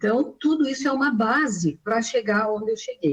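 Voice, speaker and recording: A somewhat breathy, fairly high woman's voice at a moderate pace. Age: 60s. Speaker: retired civil servant and nutritionist. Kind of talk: interview testimony. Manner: halting, with many fillers.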